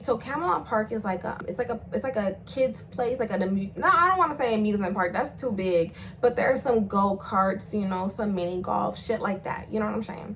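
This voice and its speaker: Over noticeable background noise, a woman speaks in an animated tone at a fairly quick pace with hardly any pauses, her medium pitch carrying ordinary pitch variation. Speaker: YouTuber telling personal stories. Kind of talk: storytime monologue. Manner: loud.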